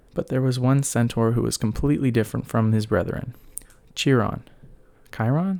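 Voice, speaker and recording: Soft-spoken and dark, mellow in tone, a man at medium pitch talks with ordinary pitch variation on a very clean recording with a silent background. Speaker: ASMR creator. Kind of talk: read story.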